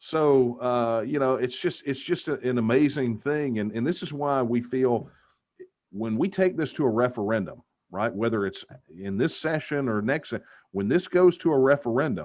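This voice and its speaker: A man with a Texas accent, medium pitch, lively intonation and a moderate pace. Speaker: political activist. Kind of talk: interview. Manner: animated.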